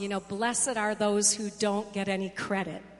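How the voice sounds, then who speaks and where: A woman with a plain, everyday voice, medium in pitch, at a moderate pace. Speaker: pastor. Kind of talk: sermon. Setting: church.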